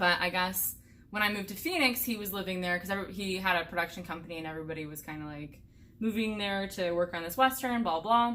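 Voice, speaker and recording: A woman with an American accent talks very fast in a bright, sharp tone at a medium pitch, her pitch varying in an ordinary way while her loudness swings widely. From US Midwest (Indiana). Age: 20s. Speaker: hiker and vlogger. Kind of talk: casual Q&A chat.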